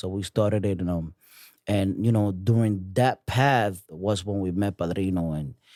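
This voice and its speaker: On a very clean recording with a silent background, a man with a strong Dominican accent speaks at a fairly low pitch in a dark, mellow tone. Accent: thick Dominican Spanish. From New York City. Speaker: music artist. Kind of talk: casual chat.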